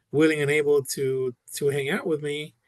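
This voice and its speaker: Speaking at a fairly slow pace, a man uses a monotone, flat intonation with a Spanish accent. His pitch is fairly high. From Puerto Rico. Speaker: podcast guest. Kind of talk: casual interview answer. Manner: hesitant, many fillers.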